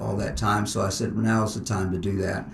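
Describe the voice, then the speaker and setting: A man talks at a fairly quick pace with an American accent. The room echo is audible, and there is noticeable background noise. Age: 60s. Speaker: martial arts instructor. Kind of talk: interview.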